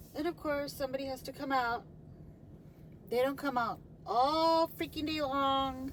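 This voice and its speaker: A woman with a high pitch, a moderate pace, long and frequent pauses, fairly even intonation, and noticeable background noise. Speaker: vlogger. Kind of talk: casual vlog monologue. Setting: outdoors. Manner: slurred words; rambling, halting.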